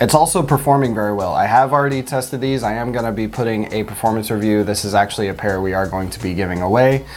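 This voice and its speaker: There is noticeable background noise. A man talks at a very fast pace in a medium pitch. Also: ordinary pitch variation. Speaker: sneaker reviewer. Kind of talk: casual review chat.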